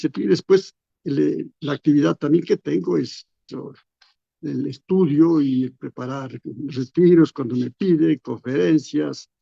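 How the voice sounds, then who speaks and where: Fairly high for a man but dark and mellow in tone, his voice moves with lively intonation at a fairly slow pace in a dry, close sound with no echo. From Ecuador, Latacunga. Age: 80s+. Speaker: retired bishop. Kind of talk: radio interview. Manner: halting, with repetitions.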